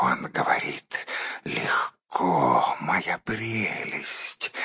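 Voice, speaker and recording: A man whispers at a very slow pace in a put-on character voice. The sound is raspy and hissing. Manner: angry, hissing.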